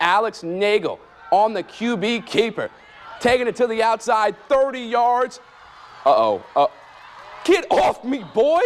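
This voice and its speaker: An upbeat, energetic man with an American accent, extremely high pitch, lively intonation, a fairly slow pace, long, frequent pauses, and noticeable background noise. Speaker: sports anchor and reporter. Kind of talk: local TV sports anchor and reporter delivery. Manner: upbeat, energetic, informal.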